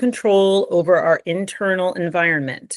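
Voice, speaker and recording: A woman with an ordinary speaking voice, medium pitch and a fairly slow pace against a quiet background. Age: 60s. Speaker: brain optimization coach. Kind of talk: interview.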